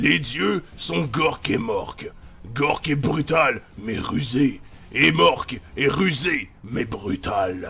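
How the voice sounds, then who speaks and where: A man uses a put-on character voice at a fairly high pitch. He speaks at a very slow pace. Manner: rough, brutish.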